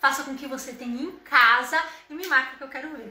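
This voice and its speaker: A woman's raised, projected, animated voice, high in pitch, with audible room echo. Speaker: home decor influencer. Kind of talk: live stream tutorial.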